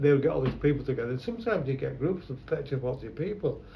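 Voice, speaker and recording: At a very fast pace, a fairly high-pitched man talks as noticeable background noise carries on. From London. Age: 70s. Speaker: photographer. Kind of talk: oral history interview. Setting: his shop.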